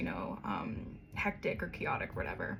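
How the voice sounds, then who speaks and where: A woman speaking at a fairly quick pace, with audible room echo. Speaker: tarot reader. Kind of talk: tarot reading. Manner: fast; casual, hesitant with ums.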